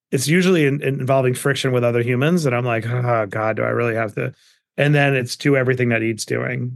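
Against a quiet background, a man with a medium pitch talks at a very fast pace. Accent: American. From Queens, New York. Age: 40s. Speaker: entrepreneur and investor. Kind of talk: interview. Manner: animated.

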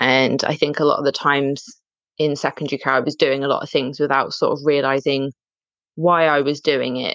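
Against a quiet background, a woman talks at a fairly quick pace in a very deep, low pitch. Her intonation is monotone and flat. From England, Dorset. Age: 30s. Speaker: practice nurse. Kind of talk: interview.

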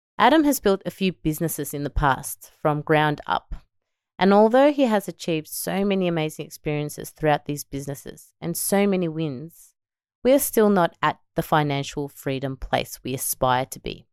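A woman with an Australian accent sounds upbeat and enthusiastic, her very deep, low voice showing lively intonation at a moderate pace, in a very clean recording with a silent background and a dry, close sound with no echo. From Melbourne, Australia. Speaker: podcast host and entrepreneur mother. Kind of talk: solo podcast monologue. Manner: upbeat, enthusiastic.

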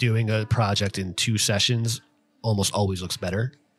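This man's voice sits at a fairly low pitch and is somewhat breathy. His intonation stays fairly even. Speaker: tattoo artist podcast host. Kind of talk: casual podcast chat.

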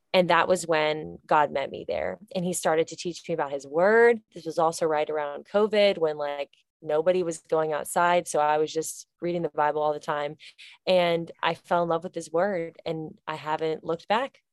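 A woman speaks at a moderate pace with a fairly low pitch. The sound is dry and close, with no echo. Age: 20s. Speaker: author and speaker. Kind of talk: casual chat. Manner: animated.

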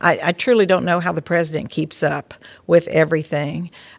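A woman with an American accent speaks at a fairly low pitch, with vocal fry. Her pace is moderate and her intonation fairly even. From southern Ohio. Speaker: retired university fundraiser, trustee. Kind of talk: casual interview. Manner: halting, many repeated words.

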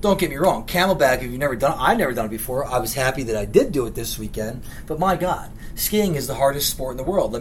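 With an American accent, a man talks at a very fast pace in a fairly high pitch. His intonation is lively, and there is noticeable background noise. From Philadelphia, lifelong resident. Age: 30s. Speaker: podcast host. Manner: blunt, profane, comedic rant style.

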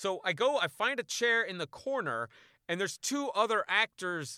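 A man speaks in a raised, projected voice with a bright, sharp tone and very wide pitch swings, at a fairly slow pace. The recording is very clean with a silent background, and the sound is dry and close with no echo. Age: 50s. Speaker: actor and podcast host. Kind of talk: casual storytelling monologue.

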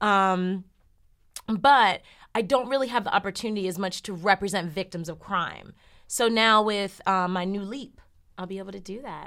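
A woman with an American accent speaks at a moderate pace in a medium pitch, her bright, sharp tone showing big swings in loudness and ordinary pitch variation. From New Jersey. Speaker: lawyer. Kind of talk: interview. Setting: studio.

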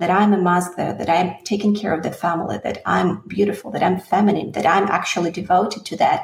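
Over noticeable background noise, a woman with a slight Russian accent speaks at medium pitch with fairly even intonation. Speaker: singer. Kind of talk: interview.

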